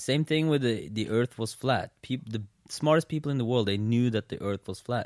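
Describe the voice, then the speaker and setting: A man with a normal speaking voice at a medium pitch, a fairly quick pace and ordinary pitch variation, in a dry, close sound with no echo. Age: 20s. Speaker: podcast host. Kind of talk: casual chat. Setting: in his apartment.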